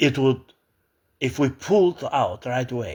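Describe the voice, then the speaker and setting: With an Albanian accent, a man at medium pitch shows vocal fry and very wide pitch swings on a very clean recording with a silent background. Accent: foreign accent, Albanian. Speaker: political commentator. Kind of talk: opinion monologue. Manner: halting, many fillers and restarts.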